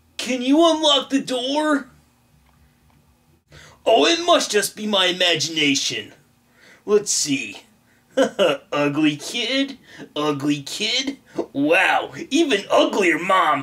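A cartoonish character voice, fairly high in pitch with very wide pitch swings, at a very slow pace full of long, frequent pauses. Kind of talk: comic puppet sketch. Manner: cocky, then nervous.

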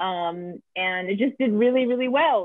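With an American accent and lively intonation, the speaker goes at a moderate pace in a dry sound with no echo against a quiet background. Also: woman. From Brooklyn, New York; New York. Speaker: film writer and director; guest. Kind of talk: interview. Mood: reflective, enthusiastic. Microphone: video call.

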